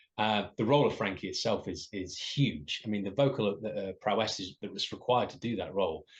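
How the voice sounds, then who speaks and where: Speaking in an English accent, a man with a fairly low-pitched voice talks at a moderate pace with ordinary pitch variation. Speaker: musical theatre performer. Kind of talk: interview. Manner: hesitant with fillers.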